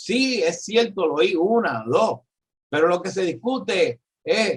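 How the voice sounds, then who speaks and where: A man speaks with a Puerto Rican accent. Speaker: economist and professor. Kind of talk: political discussion. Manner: halting.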